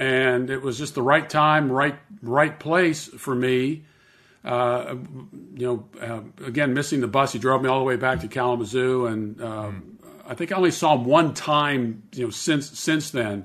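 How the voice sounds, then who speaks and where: Speaking with an American accent, a man uses a normal speaking voice at medium pitch, with lively intonation and a moderate pace. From US, Pittsburgh, Pennsylvania. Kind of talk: interview.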